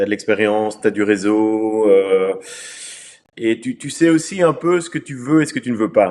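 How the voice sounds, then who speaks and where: This man has an ordinary speaking voice, pitched in the middle range and delivered at a moderate pace. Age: 50s. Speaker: entrepreneur. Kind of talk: interview.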